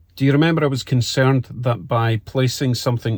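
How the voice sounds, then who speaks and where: A man talks at a fairly quick pace with a Scottish accent. His voice is somewhat breathy, and his intonation stays fairly even. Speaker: car hobbyist YouTuber. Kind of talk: product review tutorial. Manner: casual, conversational.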